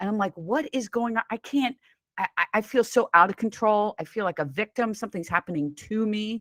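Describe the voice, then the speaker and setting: A woman speaks in an unremarkable speaking voice, pitched fairly high, with lively intonation. The sound is dry and close, with no echo. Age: 60s. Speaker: weight loss coach. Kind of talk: interview.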